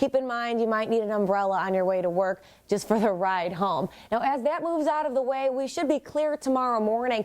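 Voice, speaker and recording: A woman's ordinary speaking voice with a fairly high pitch, lively intonation, and a fairly quick pace. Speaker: TV news reporter. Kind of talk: TV weather forecast.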